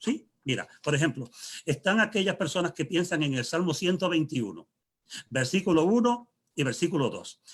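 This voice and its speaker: A man's high-pitched voice with lively intonation. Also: moderate pace. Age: 60s. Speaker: pastor. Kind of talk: panel discussion. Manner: halting.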